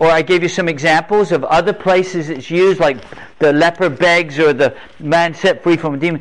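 A man speaks with an English accent. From England. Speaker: preacher. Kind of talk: sermon. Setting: stage with audience. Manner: animated.

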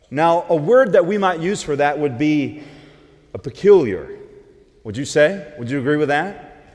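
A man speaks at a fairly slow pace. His fairly high pitch carries lively intonation. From US South. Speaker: preacher. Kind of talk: sermon.

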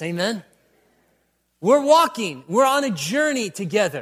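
A man speaks at a moderate pace with an animated tone and very wide pitch swings, in a very clean recording with a silent background. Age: 30s. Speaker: preacher. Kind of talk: sermon.

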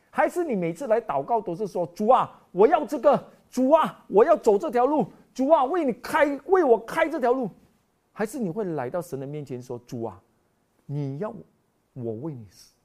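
The speaker moves at a moderate pace, with very wide pitch swings and big swings in loudness. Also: man, high pitch for a man. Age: 50s. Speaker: preacher. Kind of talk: sermon. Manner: animated.

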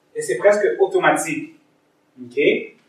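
A man talks at a very slow pace. Audible room echo surrounds his voice. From East Africa. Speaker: lay preacher. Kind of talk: sermon. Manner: halting.

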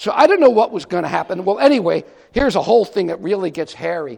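Speaking with an American accent, a man with a high pitch talks at a very fast pace in an animated tone with very wide pitch swings. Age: 60s. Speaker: writer. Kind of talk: testimony. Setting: church.

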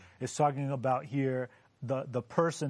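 At a moderate pace and medium pitch, a man speaks in an ordinary speaking voice. The background is quiet. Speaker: panelist. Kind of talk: casual Bible discussion. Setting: studio.

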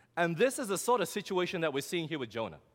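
A man with a fairly high pitch and vocal fry speaks on a very clean recording with a silent background. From Australia. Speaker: preacher. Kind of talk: sermon.

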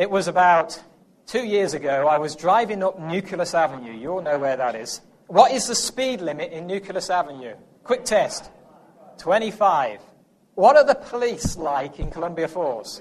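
A man's high-pitched voice with an English accent, at a moderate pace, with very wide pitch swings. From England. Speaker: preacher. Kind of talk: sermon.

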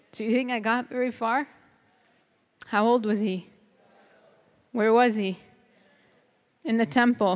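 With a Chicago accent, a woman speaks at a fairly high pitch and a fairly slow pace, leaving long, frequent pauses. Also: ordinary pitch variation, quiet background. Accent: Chicago American. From US Midwest (Chicago). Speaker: seminar speaker. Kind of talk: testimony.

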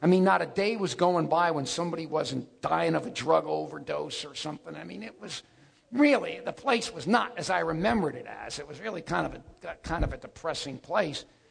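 Over noticeable background noise, a man talks at a fairly quick pace in an animated tone, with big swings in loudness. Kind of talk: life story telling. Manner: animated, punchy storyteller with comic asides and laughter; conversational, casual, fast-paced.

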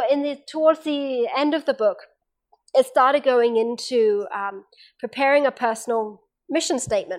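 Recorded very cleanly against a silent background, a woman with an English accent talks at a moderate pace with ordinary pitch variation. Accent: English accent, retained. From England. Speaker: seminar presenter, former university staff. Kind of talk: seminar talk. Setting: camp meeting seminar with small audience.

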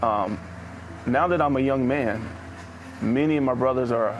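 There is noticeable background noise. A man with an American accent speaks at a medium pitch. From Indianapolis, Indiana, US Midwest. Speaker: former prisoner sharing testimony. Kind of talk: testimony. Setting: outdoors at a park.

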